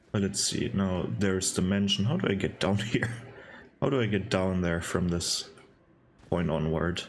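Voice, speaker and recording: Amid audible room echo, a man with a very deep, low pitch talks at very even loudness, with long, frequent pauses. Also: ordinary pitch variation. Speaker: gaming YouTuber. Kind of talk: let's play commentary. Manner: slow; halting.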